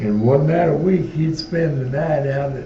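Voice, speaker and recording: Amid noticeable background noise and audible room echo, a man talks at a fairly slow pace with a fairly high pitch and ordinary pitch variation. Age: 80s+. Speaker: war veteran. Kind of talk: interview. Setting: veterans home.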